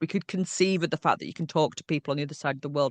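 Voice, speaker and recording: A woman with a Yorkshire accent, in a dry, close sound with no echo against a quiet background. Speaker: historian. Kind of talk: interview answer. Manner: witty.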